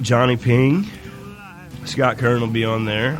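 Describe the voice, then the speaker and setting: A man's fairly even intonation, with music in the background and audible room echo. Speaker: singer-songwriter. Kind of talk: casual interview chat.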